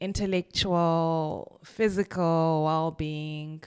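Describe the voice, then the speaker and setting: On a very clean recording with a silent background, a woman speaks at a very slow pace in a fairly low voice with ordinary pitch variation. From Zimbabwe (Kwekwe, Bulawayo). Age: 20s. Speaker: podcast host. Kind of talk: casual monologue.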